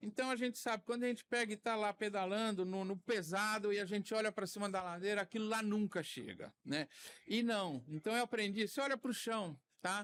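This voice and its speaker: The sound is dry and close, with no echo. A high-pitched man speaks at a fairly quick pace with ordinary pitch variation. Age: 60s. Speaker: cataract surgeon. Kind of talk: podcast interview. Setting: recorded at a medical conference.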